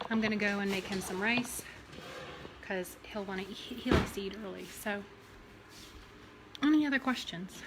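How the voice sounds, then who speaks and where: A woman's fairly high voice at a moderate pace, with ordinary pitch variation, long, frequent pauses and noticeable background noise. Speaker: bariatric coach. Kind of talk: cooking livestream.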